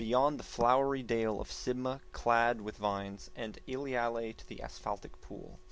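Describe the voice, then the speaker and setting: A man speaks in a dramatic tone at a medium pitch and moderate pace, barely pausing. His intonation stays flat and monotone while his loudness swings widely. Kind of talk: poetry reading.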